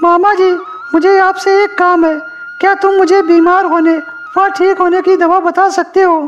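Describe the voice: A cartoonish character voice at an extremely high pitch holds a monotone, flat intonation at a moderate pace. Clear music plays in the background.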